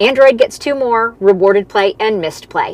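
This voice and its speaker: A woman with ordinary pitch variation amid noticeable background noise. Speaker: side hustle content creator. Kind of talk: live stream Q&A. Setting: live stream. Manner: fast.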